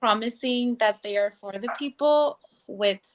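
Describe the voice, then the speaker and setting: In a dry, close sound with no echo, a woman with a Spanish accent talks at a fairly slow pace. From Mexico, Oaxaca. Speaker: political candidate. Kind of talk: interview.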